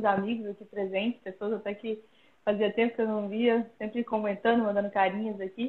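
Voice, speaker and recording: A woman's fairly high voice at a fairly quick pace, flat and monotone in intonation. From Brazil, Pirenópolis, Goiás. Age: 30s. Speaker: professional mountain bike athlete. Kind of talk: casual interview. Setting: Instagram live video call.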